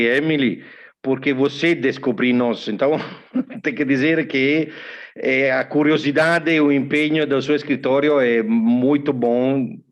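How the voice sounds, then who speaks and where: Keeping very even loudness and fairly even intonation, a man with a non-native accent talks fairly slowly at a fairly high pitch. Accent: foreign accent in Portuguese. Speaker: technical expert from electrical connector company. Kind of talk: webinar panel talk. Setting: online webinar. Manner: hesitant, with filler sounds.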